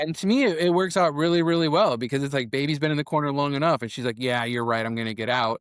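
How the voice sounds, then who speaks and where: The tone is animated, with ordinary pitch variation, a very fast pace and hardly any pauses. The recording is very clean, with a silent background. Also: man, fairly high pitch for a man. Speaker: filmmaker. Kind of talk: casual chat.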